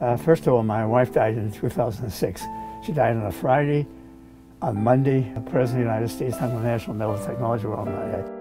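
A man talks at a fairly quick pace while music plays clearly in the background. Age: 80s+. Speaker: inventor. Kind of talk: interview answer. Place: workshop. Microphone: lapel.

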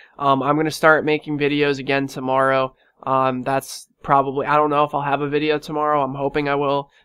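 A man talks at a fairly quick pace in a bright, sharp tone, his pitch fairly high and his intonation monotone and flat. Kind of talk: casual vlog. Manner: casual, filler-heavy.

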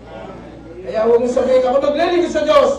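A man's voice carries audible room echo along with light background noise. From Philippines. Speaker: preacher. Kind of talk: sermon. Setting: church. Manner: animated, rhetorical call-and-response, asking the congregation questions; repeats points for emphasis, mixing Tagalog and English. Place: church. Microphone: camera far.

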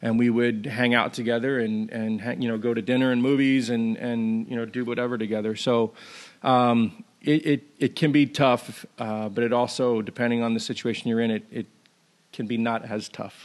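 In an American accent, a man speaks at a medium pitch and moderate pace with monotone, flat intonation. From New York, US Northeast. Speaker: former pro baseball player, ministry worker. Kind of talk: interview. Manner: hesitant, many fillers.

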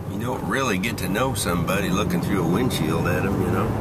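A man's voice with ordinary pitch variation over loud background noise. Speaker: commuter vlogger. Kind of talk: casual vlog chat. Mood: reflective, wry. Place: car. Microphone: phone near.

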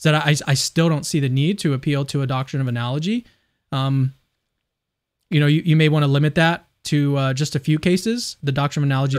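Talking at a very fast pace, a man uses a fairly high pitch with ordinary pitch variation. The background is quiet. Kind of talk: casual dialogue on theology. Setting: livestreamed video call. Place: home room. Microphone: studio mic.

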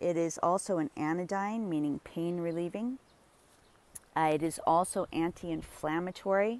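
A woman with an ordinary speaking voice talks at a moderate pace and a fairly low pitch, with fairly even intonation and a dry sound with no echo. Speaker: herbalist plant walk guide. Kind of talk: tutorial. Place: garden. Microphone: phone near.

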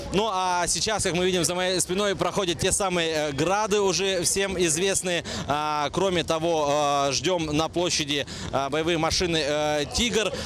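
With light background noise behind him, a man speaks high in pitch at a fairly slow pace with fairly even intonation. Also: very even loudness, dry sound with no echo. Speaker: TV news reporter. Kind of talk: live news report. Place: street. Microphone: handheld.

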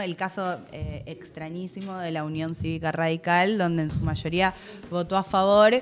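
At a moderate pace, a woman speaks in a fairly low, monotone voice with flat intonation. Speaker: stream co-host. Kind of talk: casual chat.

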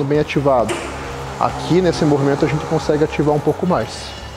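A man speaks fairly quickly while clear background noise is heard throughout. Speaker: coach. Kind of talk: tutorial. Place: gym. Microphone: lapel.

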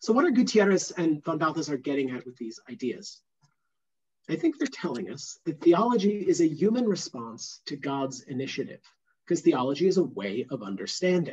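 A man's fairly high voice swings very widely in pitch and heavily in loudness. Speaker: theology professor. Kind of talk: interactive lecture. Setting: video call. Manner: animated. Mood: warm, friendly. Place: home room. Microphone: headset.

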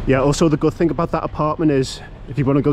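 Over light background noise, a man with a British accent talks at a very fast pace, his fairly high pitch held in fairly even intonation, the sound dry with no echo. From Britain. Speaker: travel vlogger. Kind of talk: walkthrough vlog. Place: street. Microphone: phone near.

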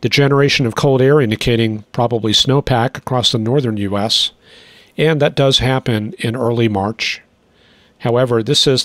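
An ordinary speaking voice at a moderate pace, with fairly even intonation and a dry, close sound that has no echo. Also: man. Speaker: weather forecaster. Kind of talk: weather forecast. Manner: measured, explanatory.

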